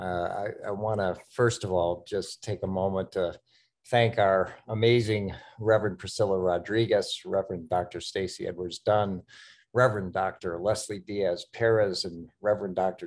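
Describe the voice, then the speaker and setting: Against a quiet background, a man talks fairly slowly in a fairly low voice with monotone, flat intonation. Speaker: seminary president. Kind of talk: welcome remarks at online event. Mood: warm, smiling. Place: home room. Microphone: webcam.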